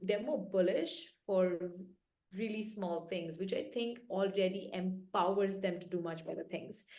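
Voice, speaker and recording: A woman's dark, mellow voice at a medium pitch moves at a fairly slow pace with fairly even intonation, and the room echo is audible. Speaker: venture capital investor. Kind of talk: interview.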